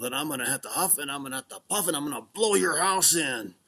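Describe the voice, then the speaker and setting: A man's put-on character voice, fairly high in pitch, at a very fast pace. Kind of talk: bedtime story. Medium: read story. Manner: mock-polite, sly, menacing.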